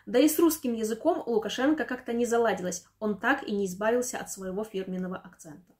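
Against a quiet background, a woman speaks very fast in a fairly high, somewhat breathy voice with lively intonation and big swings in loudness. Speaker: news presenter. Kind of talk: news commentary narration. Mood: dry, ironic. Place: home room.

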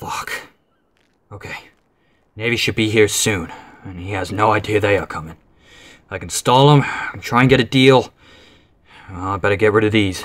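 Someone uses a put-on character voice that is raspy, with big swings in loudness. The moderate pace has long, frequent pauses, and the pitch varies in an ordinary way. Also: man, fairly low pitch for a man. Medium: machinima. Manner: gruff, sardonic, determined.

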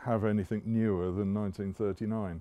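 A man's fairly low, dark and mellow voice carries fairly even intonation in a dry sound with no echo. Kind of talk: interview answer. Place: street. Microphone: headset.

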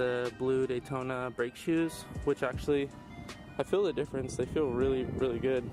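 Clear music sits in the background. A man's voice sounds dry, with no echo. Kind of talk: casual walk-around commentary. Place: open country. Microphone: phone near.

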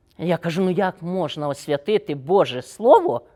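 A woman's fairly low voice, dark and mellow in tone, on a very clean recording with a silent background. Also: dry, close sound with no echo. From Ukraine, Volyn region. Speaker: retired prosecutor. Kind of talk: testimony.

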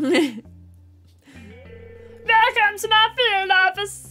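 A strained, put-on character voice at an extremely high pitch plays over faint music in the background.

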